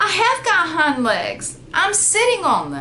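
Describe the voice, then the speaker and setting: Clear background noise sits behind a put-on character voice delivered at a fairly slow pace. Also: woman. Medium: read story.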